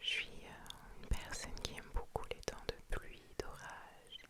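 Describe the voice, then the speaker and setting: Noticeable background noise surrounds a woman whispering very slowly. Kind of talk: ASMR scrolling Pinterest, casual talk to camera. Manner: whispered, soft-spoken.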